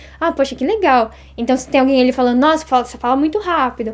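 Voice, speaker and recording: A woman talks at a very fast pace and high pitch with ordinary pitch variation. There is noticeable background noise. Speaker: Japanese language teacher. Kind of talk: interview.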